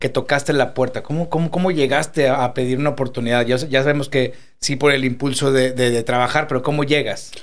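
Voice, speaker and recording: With a fairly high pitch, a man races along at a very fast pace in a monotone, flat intonation, keeping very even loudness and hardly any pauses. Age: 40s. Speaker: podcast host. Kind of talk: interview.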